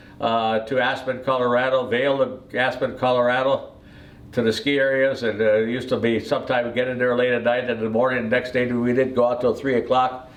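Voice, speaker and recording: In an American accent, a man with a medium pitch speaks at a fairly quick pace in a monotone, flat intonation, with audible room echo around him. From US Midwest, Wisconsin. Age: 80s+. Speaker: retired airline pilot. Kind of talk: life story telling. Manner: halting, many fillers.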